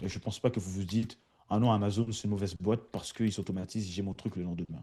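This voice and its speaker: A man's fairly low, dark, mellow voice at a moderate pace, with ordinary pitch variation. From France. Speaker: automation consultant. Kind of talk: webinar presentation. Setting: online webinar. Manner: hesitant, many fillers.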